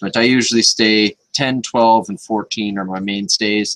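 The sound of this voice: At a fairly slow pace, the voice has a fairly bright tone and fairly even intonation. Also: man, fairly low pitch for a man.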